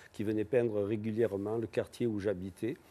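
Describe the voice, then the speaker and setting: A man's fairly low voice with a dark, mellow tone, fairly even intonation and a moderate pace. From southern France, Avignon. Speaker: painter and sculptor. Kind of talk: TV interview. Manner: hesitant, with frequent fillers.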